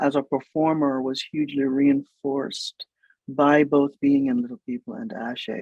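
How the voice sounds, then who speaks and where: In a Jamaican accent, a man speaks at a fairly high pitch with a dark, mellow tone and fairly even intonation. His pace is fairly slow, and the sound is dry and close with no echo. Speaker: writer, producer and stage performer. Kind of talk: interview conversation. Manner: hesitant, many filler words.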